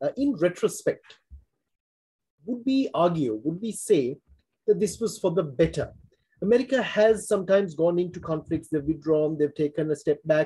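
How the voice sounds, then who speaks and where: A man's high-pitched voice with a dark, mellow tone, lively intonation, a moderate pace, and long, frequent pauses. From Sri Lanka. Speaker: forum host, former diplomat; forum host. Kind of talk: interview. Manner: formal. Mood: polite, formal, appreciative. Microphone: video call.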